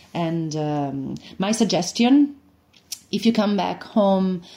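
A woman with an Italian accent speaks very slowly, with lively intonation and a dark, mellow tone. The background is quiet. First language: Italian (speaking Dutch). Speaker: actress. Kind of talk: promotional interview.

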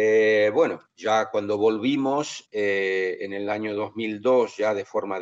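Speech comes very slowly with fairly even intonation, sounding dry and close with no echo against a quiet background. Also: man. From Brazil (São Paulo), born in Argentina. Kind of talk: interview. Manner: halting, many fillers.

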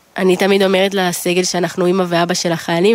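A woman talking at a fairly quick pace. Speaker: army company commander. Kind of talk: interview.

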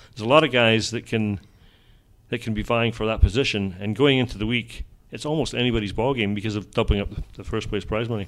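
In a very clean recording with a silent background, a man with a Scottish accent talks very fast at a medium pitch with fairly even intonation. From Scotland. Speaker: golf journalist. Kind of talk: casual interview.

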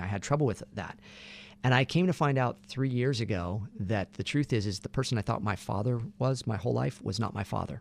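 Here a man with an American accent talks at a very fast pace and medium pitch, with vocal fry and ordinary pitch variation, on a very clean recording with a silent background. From Santa Barbara, California. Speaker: voice actor. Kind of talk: casual interview chat.

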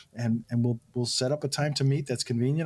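A man's somewhat breathy, medium-pitched voice at a very fast pace, with fairly even intonation. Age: 60s. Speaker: financial advisor. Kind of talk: radio call-in show chat.

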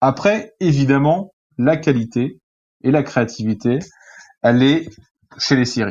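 With long, frequent pauses, a man speaks at a very slow pace and medium pitch, his intonation lively and his loudness very even. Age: 30s. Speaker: journalist and film critic. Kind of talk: interview. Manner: hesitant, with fillers and repetitions.

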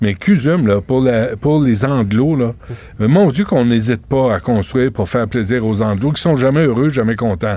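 Medium pitch and lively intonation from a man. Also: moderate pace. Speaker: radio talk show host. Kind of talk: radio talk show interviews and chat. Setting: radio studio. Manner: animated.

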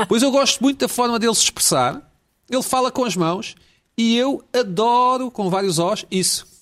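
The man's pitch sits extremely high, with ordinary pitch variation. His tone is animated. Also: moderate pace. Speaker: talk show host. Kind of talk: comedy panel chat. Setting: video call.

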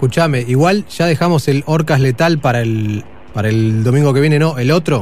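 A man with a fairly high pitch speaks at a moderate pace, somewhat breathy. His loudness stays very even and his pitch varies in an ordinary way. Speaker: radio host. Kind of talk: casual chat.

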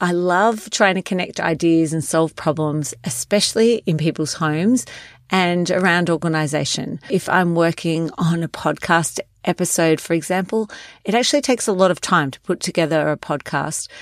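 On a very clean recording with a silent background, a woman speaks at a moderate pace in a fairly low pitch with ordinary pitch variation. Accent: Australian. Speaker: podcast host and wellness coach. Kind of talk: solo podcast monologue.

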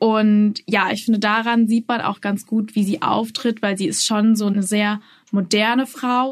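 At a fairly slow pace, a somewhat breathy voice delivers its words in a monotone with flat intonation. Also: woman, fairly high pitch for a woman. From Austria, Salzburg. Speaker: journalist. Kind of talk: interview.

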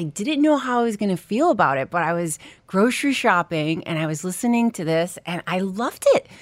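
An animated voice in a New York accent moves at a fairly quick pace with hardly any pauses and very wide pitch swings. The recording is very clean, with a silent background. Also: woman. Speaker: comedian. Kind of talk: casual chat. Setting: studio.

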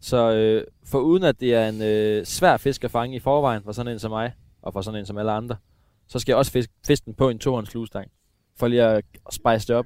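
This man uses a normal speaking voice, with medium pitch. He moves at a fairly quick pace, his intonation fairly even. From eastern Denmark. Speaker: radio host and angler. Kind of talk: casual chat. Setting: outdoors.

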